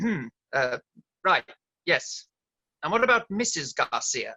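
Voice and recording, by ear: Slowly and in a put-on character voice, a man speaks at a fairly high pitch with big pitch swings, a bright, sharp tone, vocal fry and a slightly husky edge.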